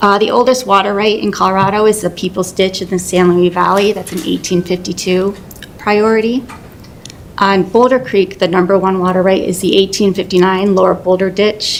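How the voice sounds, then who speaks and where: Over noticeable background noise, a woman talks at a fairly quick pace. Her pitch is medium and her intonation fairly even. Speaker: city water resources manager. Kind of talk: presentation to city council.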